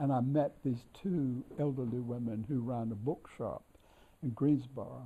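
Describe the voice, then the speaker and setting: At a fairly slow pace, a man with an American accent speaks in a medium pitch with ordinary variation and a dark, mellow, somewhat breathy tone. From North Carolina, US South. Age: 80s+. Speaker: scholar and editor of an author's works. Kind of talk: reminiscence during a tour. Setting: library of a historic house. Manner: halting with many fillers.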